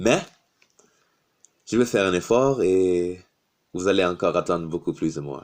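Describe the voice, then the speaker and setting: A man with a non-native accent and a very deep, low pitch, at a fairly slow pace with long, frequent pauses. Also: ordinary pitch variation. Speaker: YouTuber. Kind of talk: motivational talk to camera. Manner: halting, with hesitations.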